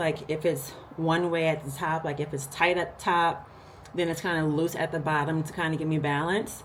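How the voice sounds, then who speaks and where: A woman's fairly low voice at a fairly quick pace, with audible room echo. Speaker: lifestyle vlogger. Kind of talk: casual vlog talk to camera. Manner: animated.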